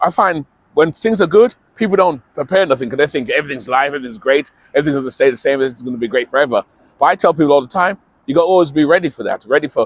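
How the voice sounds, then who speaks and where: In a dry, close sound with no echo, a man talks very fast with lively intonation at a fairly high pitch. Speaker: vlogger on alternative living. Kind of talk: casual talk to camera. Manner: mumbling at times.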